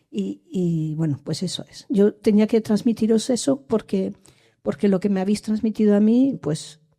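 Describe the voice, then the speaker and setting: Her voice somewhat breathy with a dark, mellow tone, a woman speaks at medium pitch and a fairly slow pace with lively intonation. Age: 60s. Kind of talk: public discussion comment. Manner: halting, many restarts.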